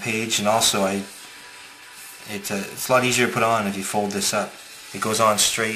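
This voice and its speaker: A man mumbles at a fairly low pitch, with audible room echo and music playing in the background. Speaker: paper model designer. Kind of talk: tutorial. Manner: fast; mumbling.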